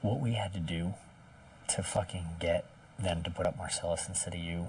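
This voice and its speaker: A very deep, low male voice at a moderate pace, with noticeable background noise. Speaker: reality TV contestant. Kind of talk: casual strategy conversation.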